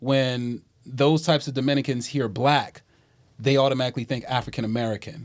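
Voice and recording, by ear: A man at a medium pitch, moderate pace and fairly even intonation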